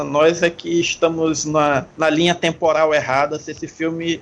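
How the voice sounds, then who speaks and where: Over noticeable background noise, a man with a high voice talks at a fairly slow pace. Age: 30s. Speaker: film podcast guest. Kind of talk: casual chat.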